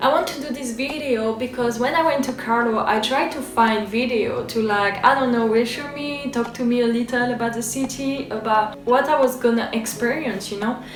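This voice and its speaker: A high-pitched woman talks at a moderate pace with hardly any pauses. Noticeable background noise and audible room echo are present. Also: ordinary pitch variation. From France. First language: French. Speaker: vlogger, former exchange student. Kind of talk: casual video guide. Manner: casual, filler-heavy.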